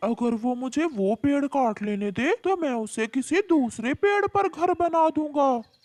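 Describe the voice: A high-pitched, cartoonish character voice speaks at a moderate pace with hardly any pauses.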